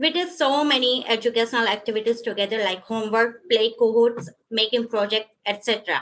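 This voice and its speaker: A woman at a fairly high pitch, fairly quick pace and ordinary pitch variation, with hardly any pauses. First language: not English. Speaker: adult education graduate giving a speech. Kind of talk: graduation speech. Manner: halting.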